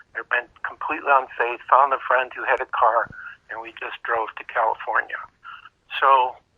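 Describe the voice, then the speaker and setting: Speaking with a Chicago accent, a man keeps a moderate pace. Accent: Chicago American English. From US Midwest, Chicago. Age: 60s. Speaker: crystal skull researcher. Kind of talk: interview. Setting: podcast interview. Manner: conversational with filler words.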